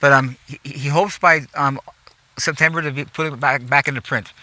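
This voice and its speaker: Noticeable background noise runs throughout. The talking goes at a fairly quick pace. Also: man. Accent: American. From US West Coast, Los Angeles. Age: 70s. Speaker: gardener. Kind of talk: guided garden tour. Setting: outdoors. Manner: animated; halting, repeats words.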